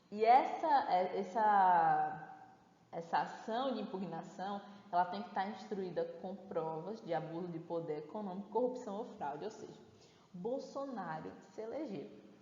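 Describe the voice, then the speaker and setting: A woman's medium-pitched voice at a fairly slow pace, with lively intonation, an animated tone and big swings in loudness, plus audible room echo and noticeable background noise. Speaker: course teacher. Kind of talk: online lecture.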